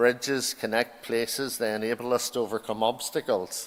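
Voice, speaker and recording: A man with an Irish accent speaks at a moderate pace. His pitch is medium, with ordinary pitch variation. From Ireland. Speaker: university principal. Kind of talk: ceremonial speech. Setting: graduation ceremony hall. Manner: formal.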